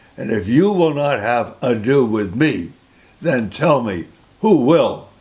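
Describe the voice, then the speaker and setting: Against noticeable background noise, a man speaks at a very slow pace with very wide pitch swings. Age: 80s+. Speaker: great-grandfather reading aloud. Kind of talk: children's story reading.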